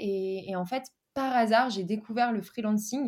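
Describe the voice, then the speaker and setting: A somewhat breathy, fairly high-pitched woman's voice with ordinary pitch variation on a very clean recording against a silent background. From France, Dijon. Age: 20s. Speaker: freelance marketer and digital nomad. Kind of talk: casual interview.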